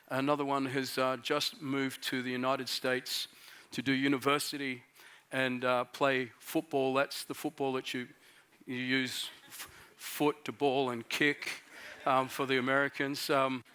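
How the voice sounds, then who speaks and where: With an Australian accent, a man speaks at a moderate pace, his medium pitch and bright, sharp tone delivered in monotone, flat intonation. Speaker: pastor. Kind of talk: sermon. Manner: halting, many fillers.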